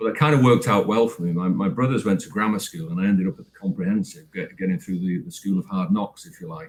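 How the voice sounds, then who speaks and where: A man with a slight Manchester accent at a very fast pace and fairly low pitch, with hardly any pauses, lively intonation and big swings in loudness. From northern England, Manchester. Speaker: actor and retired business executive. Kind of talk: interview. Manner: halting, many repetitions.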